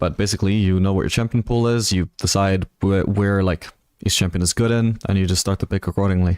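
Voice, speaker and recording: A man's fairly low voice at a very fast pace with fairly even intonation, dry and close with no echo, on a very clean recording with a silent background. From Spain (British parents). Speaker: video game streamer and coach. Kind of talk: live stream commentary answering chat. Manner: casual, conversational.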